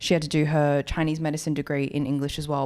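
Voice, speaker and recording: A woman with an Australian accent and a very deep, low voice is heard on a very clean recording with a silent background. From rural New South Wales, Australia. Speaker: podcast co-host. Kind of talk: casual chat.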